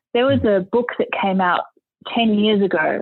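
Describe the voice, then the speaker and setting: Using a medium pitch, a woman with an Australian accent speaks at a fairly slow pace. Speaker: school leader. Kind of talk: podcast interview answer.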